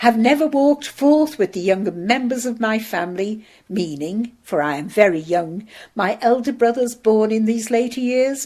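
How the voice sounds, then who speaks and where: A woman puts on a character voice, pitched fairly high. She speaks at a moderate pace. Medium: read story. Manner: cheery, warm.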